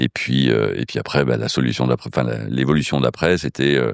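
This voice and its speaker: A man's very deep, low voice at a moderate pace, fairly even in intonation, with a dry, close sound and no echo. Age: 60s. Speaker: casino group executive. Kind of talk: interview. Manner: hesitant, many fillers.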